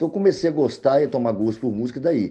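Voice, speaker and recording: A man with a dark, mellow tone and lively intonation, talking at a very fast pace. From Brazil, Montes Claros, northern Minas Gerais. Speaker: singer-songwriter. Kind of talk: interview.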